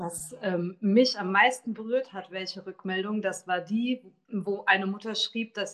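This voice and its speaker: A woman uses an ordinary speaking voice at a medium pitch, talking at a fairly slow pace with ordinary pitch variation. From Taunus, Hesse. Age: 40s. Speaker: author. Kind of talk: interview.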